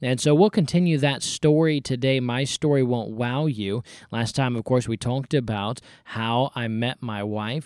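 A man uses a normal speaking voice at a medium pitch with ordinary pitch variation and a moderate pace. The sound is dry and close, with no echo. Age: 20s. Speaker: podcast host. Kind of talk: personal testimony monologue.

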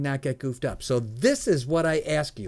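A man talks in a normal speaking voice with ordinary pitch variation. The recording is very clean, with a silent background. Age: 60s. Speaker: entrepreneur and mentor. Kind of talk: interview.

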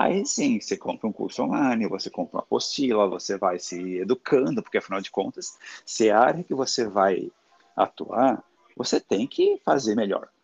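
Recorded dry and close with no echo, a man speaks at a moderate pace. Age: 40s. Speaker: confectioner, former fashion worker. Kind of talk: casual interview chat. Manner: animated.

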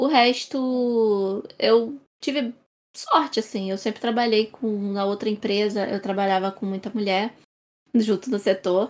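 An unremarkable speaking voice from a woman, fairly high in pitch with ordinary pitch variation, at a fairly slow pace. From Brazil, Rio de Janeiro. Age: 20s. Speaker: information security professional. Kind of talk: casual panel discussion.

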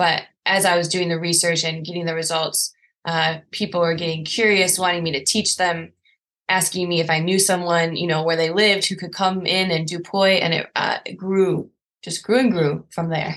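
A woman with an American accent talks at a moderate pace, her pitch fairly low and her intonation monotone and flat. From US. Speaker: scientist and poi instructor. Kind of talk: interview.

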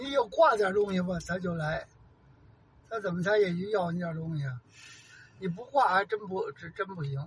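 Speaking at a moderate pace with long, frequent pauses, a man with a high pitch shows ordinary pitch variation. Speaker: host's father. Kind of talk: casual chat.

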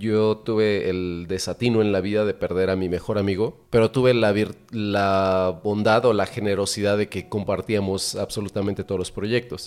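A man speaks in a normal speaking voice at a moderate pace, fairly low in pitch, with fairly even intonation and hardly any pauses. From central Mexico. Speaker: podcast host. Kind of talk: casual chat.

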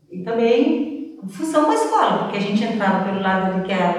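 A woman's medium-pitched voice at a moderate pace, with audible room echo and noticeable background noise. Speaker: school employee, former student. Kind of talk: testimony. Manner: halting.

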